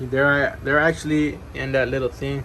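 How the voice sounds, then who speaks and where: A man's fairly even intonation amid noticeable background noise and audible room echo. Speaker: reptile keeper and youtuber. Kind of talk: casual room tour video. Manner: fast; casual, filler-heavy.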